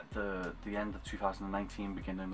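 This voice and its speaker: Clear music plays in the background. A man speaks with a very deep, low pitch. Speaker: cosplayer vlogger. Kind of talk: casual vlog chat. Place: home room. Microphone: webcam.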